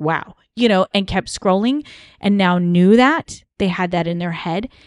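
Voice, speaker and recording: Speaking fairly slowly with an American accent, a woman with an unremarkable speaking voice and medium pitch uses lively intonation, the sound dry and close with no echo against a quiet background. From US East Coast. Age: 40s. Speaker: podcast host, cult survivor. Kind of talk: casual chat.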